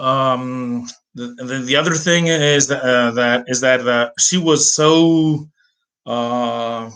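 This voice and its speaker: Delivery comes at a very slow pace with fairly even intonation. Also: man, medium pitch for a man. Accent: US East Coast. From Greece, Athens. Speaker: language teacher and translator. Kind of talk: personal story monologue. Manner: hesitant, many fillers.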